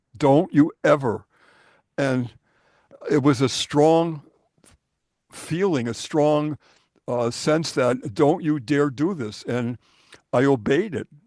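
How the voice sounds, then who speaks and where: Speaking at a very slow pace with long, frequent pauses, a man with a fairly high pitch uses ordinary pitch variation. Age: 80s+. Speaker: ufologist. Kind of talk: casual chat.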